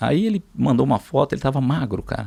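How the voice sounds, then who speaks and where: The voice has a dark, mellow tone with vocal fry, moving at a fairly quick pace with lively intonation. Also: man. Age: 60s. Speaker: pilot and businessman. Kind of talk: interview storytelling. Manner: halting, many repetitions.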